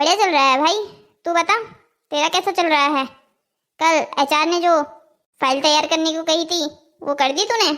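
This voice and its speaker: Using a cartoonish character voice, a woman speaks at an extremely high pitch and a fairly quick pace with ordinary pitch variation. She leaves long, frequent pauses. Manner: sarcastic, grumbling.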